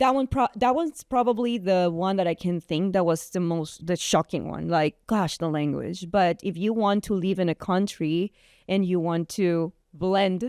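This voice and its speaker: A woman with a Guatemalan accent talks at a moderate pace and a medium pitch. Her pitch variation is ordinary, and the sound is dry and close with no echo. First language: Spanish. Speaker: entrepreneur and photographer. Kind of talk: interview.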